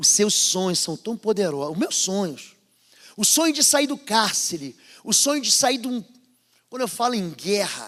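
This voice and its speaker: A man with a northern Brazilian accent speaks fairly slowly at a high pitch, animated in tone and with very wide pitch swings. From northern/northeastern Brazil. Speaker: pastor. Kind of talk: sermon. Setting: church service with congregation.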